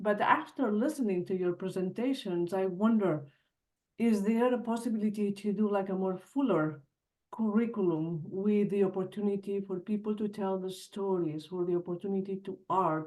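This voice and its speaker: Speaking at a moderate pace with a Spanish accent, a woman has a dark, mellow tone, medium pitch and ordinary pitch variation. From Spain. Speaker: trauma group facilitator, webinar attendee. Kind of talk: audience question.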